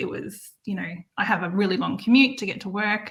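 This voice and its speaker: With an Australian accent, a woman speaks at medium pitch and a moderate pace, her tone bright and sharp. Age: 40s. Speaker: campsite manager and online marketer. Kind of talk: interview.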